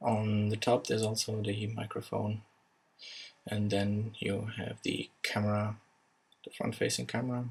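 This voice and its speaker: With a non-native accent, a somewhat breathy voice moves at a fairly slow pace in monotone, flat intonation, broken by long, frequent pauses. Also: man, fairly low pitch for a man. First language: not English. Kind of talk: casual unboxing narration.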